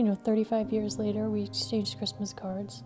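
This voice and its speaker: A woman's gentle tone with an American accent at a moderate pace, music in the background. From Connecticut. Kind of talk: interview answer. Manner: gentle, reflective.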